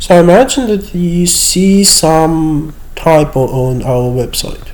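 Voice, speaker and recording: A man with a high pitch talks at a very slow pace with lively intonation over noticeable background noise. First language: Russian. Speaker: university lecturer. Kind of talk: screen-share tutorial. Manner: hesitant with fillers.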